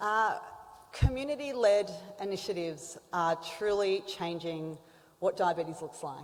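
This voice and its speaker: With an Australian accent and lively intonation, a woman at a medium pitch speaks at a moderate pace, leaving long, frequent pauses. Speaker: symposium moderator. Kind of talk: conference introduction.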